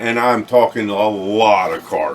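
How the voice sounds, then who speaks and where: A man talks with ordinary pitch variation while noticeable background noise plays behind him. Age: 60s. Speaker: car restorer and online video host. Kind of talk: casual monologue to camera. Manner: halting, many fillers.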